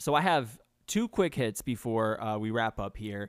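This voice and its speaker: Heard in a very clean recording with a silent background, a man with an unremarkable speaking voice speaks with an American accent. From New York. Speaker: podcast host. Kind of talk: casual podcast chat.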